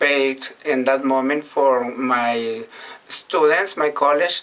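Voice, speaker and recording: The speaker talks very slowly with a Mexican accent. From Mexico, Sinaloa. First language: Spanish. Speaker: vlogger. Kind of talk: casual monologue in learner English. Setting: bathroom. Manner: halting.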